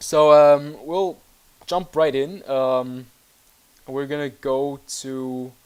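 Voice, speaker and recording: Very slow speech comes from a man with a German accent. He leaves long, frequent pauses. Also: fairly high pitch for a man, fairly even intonation, big swings in loudness. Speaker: gaming YouTuber. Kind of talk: gameplay commentary. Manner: hesitant, many fillers.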